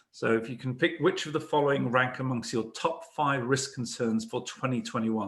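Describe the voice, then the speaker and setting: Someone speaks at a fairly quick pace with fairly even intonation and a British accent. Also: man. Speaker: cyber risk consultant, webinar moderator. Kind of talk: corporate webinar presentation.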